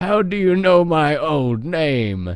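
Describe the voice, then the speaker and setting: The speaker is a man using a put-on character voice. His pitch is fairly high. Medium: read story.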